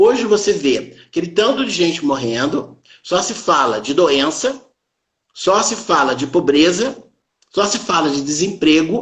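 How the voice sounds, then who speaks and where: High pitch for a man, with very wide swings up and down. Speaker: doctor giving motivational talk. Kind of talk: live stream talk.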